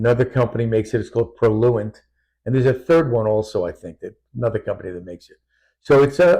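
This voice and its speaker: A man speaks very fast at a medium pitch, with lively intonation and a quiet background. His tone is dark, mellow and somewhat breathy. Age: 70s. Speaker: doctor and patient sharing testimony. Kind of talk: interview testimony.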